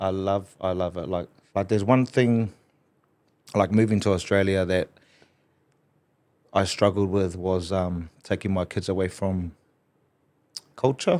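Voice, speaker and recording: On a very clean recording with a silent background, a man with a New Zealand accent and a very deep, low pitch speaks at a fairly slow pace with fairly even intonation and long, frequent pauses. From New Zealand, Hastings (Flaxmere). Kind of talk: casual podcast conversation.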